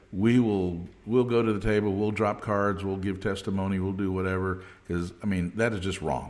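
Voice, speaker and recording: Moderate-paced speech from a man with a fairly low voice, plus audible room echo. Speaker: podcast host. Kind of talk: podcast interview. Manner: animated, stammering.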